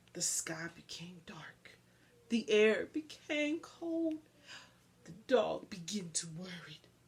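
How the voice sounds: A woman with a fairly low pitch and a husky, rough edge talks at a slow pace with big pitch swings.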